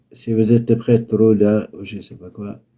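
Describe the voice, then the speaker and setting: At a very slow pace, a man with a dark, mellow tone speaks at a medium pitch in a monotone, flat intonation. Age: 70s. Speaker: spiritual healer. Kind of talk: live call-in healing session. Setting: live stream video call.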